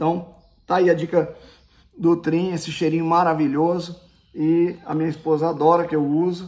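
At a moderate pace, a man with a high pitch speaks in a flat monotone and takes long, frequent pauses. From Brazil, Paraná. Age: 40s. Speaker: YouTuber. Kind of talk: casual product review vlog. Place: home room. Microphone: phone near.

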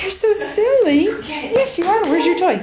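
A woman is speaking. Noticeable background noise sits behind her voice. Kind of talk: baby talk to a dog. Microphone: phone near.

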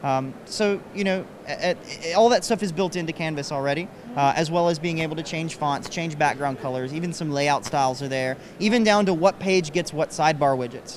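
A man with an American accent speaks at a fairly quick pace and fairly high pitch, with ordinary pitch variation. The sound is dry with no echo, with light background noise. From Kentucky, rural. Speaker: web developer; interviewee. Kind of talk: interview. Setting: conference floor. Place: hall. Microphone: handheld.

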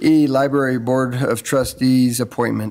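The man talks at a moderate pace with monotone, flat intonation. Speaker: council official reading agenda. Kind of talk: formal agenda reading. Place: hall. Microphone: podium.

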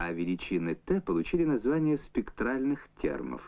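With very wide pitch swings, a man speaks at a fairly slow pace. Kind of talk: 1970s Soviet educational film narration, scripted voice-over. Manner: formal, measured, even-paced and authoritative, with a didactic newsreel-style delivery. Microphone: old recording.

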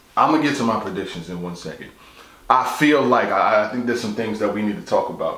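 A man talks at a fast pace with a fairly low pitch, ordinary pitch variation and a fairly bright tone. Strong room echo surrounds his voice.

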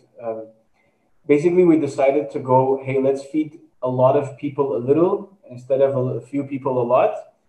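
A man at a medium pitch with a dark, mellow tone, at a fairly quick pace, amid audible room echo. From Quebec, Canada. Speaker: charity co-founder and entrepreneur; guest. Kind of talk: interview. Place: home room. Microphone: video call.

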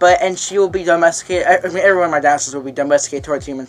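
Over music in the background, a man speaks at a very fast pace. His fairly high pitch holds a fairly even intonation. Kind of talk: casual vlog talk to camera. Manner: fast, some stuttering.

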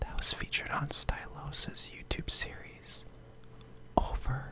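Whispering over noticeable background noise, a man speaks. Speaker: gaming YouTuber. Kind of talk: casual talk to camera. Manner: casual, opinionated, slangy.

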